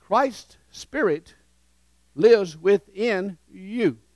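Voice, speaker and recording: Speaking with a Southern US accent, a man uses an animated tone and very wide pitch swings against a quiet background. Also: dry sound with no echo. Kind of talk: sermon with call-and-response. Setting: church with congregation. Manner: animated, interactive, leads the congregation in repeating phrases; warm, urgent, exhorting. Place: church. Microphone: headset.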